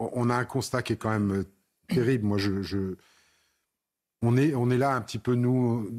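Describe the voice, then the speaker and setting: A man talks at a moderate pace and medium pitch with ordinary pitch variation, leaving long, frequent pauses. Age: 60s. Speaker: member of parliament. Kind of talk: TV panel debate.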